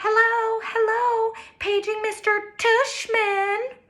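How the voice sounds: Using a put-on character voice, a man speaks very slowly at an extremely high pitch in a flat monotone.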